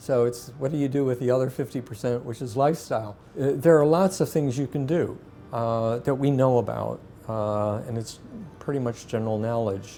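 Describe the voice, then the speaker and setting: The pace is moderate. Music plays in the background. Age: 60s. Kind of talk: interview.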